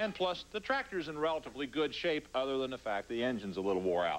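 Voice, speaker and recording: Over light background noise, a man speaks at a very fast pace. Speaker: TV show co-host. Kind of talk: tutorial. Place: garage.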